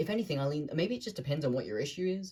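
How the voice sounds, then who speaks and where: The voice is a man's, somewhat breathy. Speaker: vlogger. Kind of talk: casual monologue to camera. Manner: fast; rambling, searching for words.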